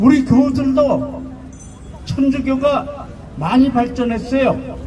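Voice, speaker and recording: A very slow pace over noticeable background noise. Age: 80s+. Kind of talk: protest rally speech. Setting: outdoors at cathedral entrance rally. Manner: impassioned, rhetorical questions; halting, self-correcting.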